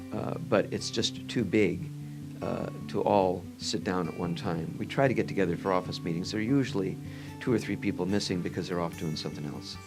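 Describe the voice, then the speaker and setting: Over music in the background, a soft-spoken man with a Midwestern American accent talks at a very deep, low pitch. His pitch swings very widely and his pace is fairly quick. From Northwest Indiana. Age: old. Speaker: orthopedic surgeon. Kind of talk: interview answer.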